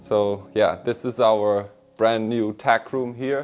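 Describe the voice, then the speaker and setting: A man talking at a very slow pace, with music in the background. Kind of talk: casual guided tour. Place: home room.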